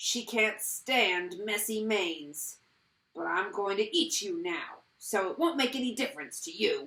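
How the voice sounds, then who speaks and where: A woman's put-on, guttural character voice, fairly high in pitch, at a moderate pace. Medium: read story. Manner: loud, yelling.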